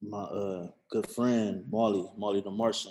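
At a very slow pace, a man speaks with a dark, mellow tone, fairly low in pitch, with ordinary pitch variation. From Toledo, Ohio. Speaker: entrepreneur and clothing brand owner. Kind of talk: casual interview chat.

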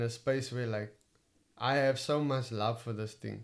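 A man with a Cape Town accent speaks at a medium pitch with fairly even intonation. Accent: Cape Town South African English. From Cape Town, South Africa. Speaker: stand-up comedian. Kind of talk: casual interview chat.

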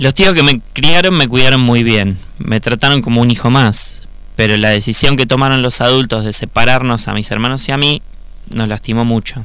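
At a moderate pace, a man with a normal speaking voice talks at a medium pitch with ordinary pitch variation. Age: 30s. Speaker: electronics engineer and secondary school teacher. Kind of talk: personal testimony.

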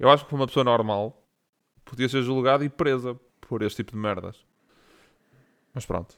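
Long, frequent pauses mark this man's speech. Otherwise he keeps a moderate pace. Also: very clean recording, silent background. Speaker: podcast co-host. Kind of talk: casual chat.

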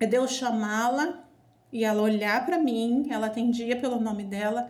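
There is audible room echo around the voice. A woman speaks at a high pitch. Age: 40s. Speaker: nurse and mother. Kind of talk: family conversation.

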